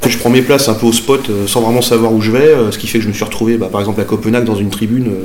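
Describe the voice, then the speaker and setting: With audible room echo and noticeable background noise, a man talks at a very fast pace. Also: medium pitch for a man, fairly even intonation. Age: 40s. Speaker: merchant sailor, football supporter. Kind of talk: interview, casual storytelling.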